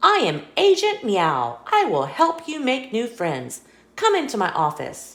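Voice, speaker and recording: A female-sounding voice puts on a character voice, high-pitched and at a fairly slow pace. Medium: read story. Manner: upbeat, confident.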